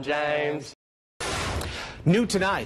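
With an American accent, a man speaks at a fairly high pitch with vocal fry, and noticeable background noise is present. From United States. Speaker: television news anchor and reporter. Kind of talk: television news anchor delivery. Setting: TV studio and field reporting. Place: studio.

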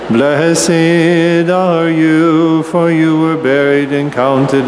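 Background music is playing. Over it, a man talks very slowly. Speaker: priest leading a liturgy. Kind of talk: liturgical prayer. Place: church. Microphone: podium.

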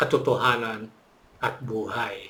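Here is a man speaking. His tone is bright and sharp. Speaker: religious channel host. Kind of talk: scripted narration. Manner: hesitant with fillers.

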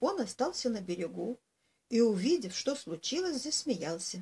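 A woman's voice with very wide pitch swings, at a fairly slow pace. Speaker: storyteller. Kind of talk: reading a fairy tale aloud. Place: home room. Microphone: webcam.

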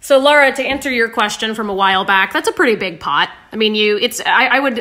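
A woman speaks at a very fast pace with a fairly high pitch. Her tone is bright and sharp, and her intonation is lively. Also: quiet background. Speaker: livestream host. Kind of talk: casual cooking livestream chat. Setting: live video stream. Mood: relaxed, friendly, chatty. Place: kitchen. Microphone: phone near.

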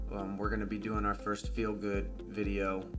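A man with an American accent at a moderate pace, very deep and low in pitch with very wide pitch swings, clear music playing in the background. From Indiana, USA. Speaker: gamer and streamer. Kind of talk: casual talk to camera. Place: home room.

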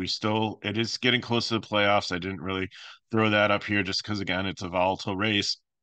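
A man's fairly low voice, bright and sharp in tone, in a dry sound with no echo over a quiet background. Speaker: fantasy sports picks host. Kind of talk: solo picks commentary. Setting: home recording with microphone. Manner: fast, run-on.

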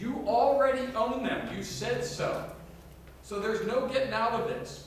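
A man with a high voice speaks in a space with strong room echo. Light background noise is also audible. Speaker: pastor. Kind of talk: sermon. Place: church.

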